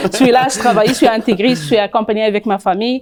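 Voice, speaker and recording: With an Arabic accent, a woman speaks at fairly high pitch with fairly even intonation in a very clean recording with a silent background. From Tunisia. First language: Arabic (speaking French). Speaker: content creator and HR advisor, immigrant. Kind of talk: TV interview. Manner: halting, many hesitations.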